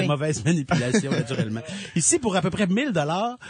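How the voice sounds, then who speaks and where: This man speaks in a Quebec accent with lively intonation. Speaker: radio columnist. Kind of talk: radio segment presenting products.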